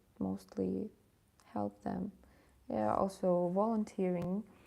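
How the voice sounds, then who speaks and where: This is a woman speaking. She has a Ukrainian accent. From Ukraine. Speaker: English tutor and philology student. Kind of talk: live stream talk. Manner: halting, many fillers.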